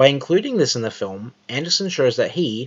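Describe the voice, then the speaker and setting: Lively intonation runs through a man's fairly quick speech. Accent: Australian. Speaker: video essayist. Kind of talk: scripted narration. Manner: formal.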